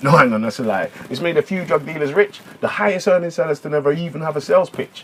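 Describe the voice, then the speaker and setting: A man at a very fast pace, fairly high-pitched, with lively intonation over noticeable background noise. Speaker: spoken word poet. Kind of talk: spoken word poetry. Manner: rhythmic.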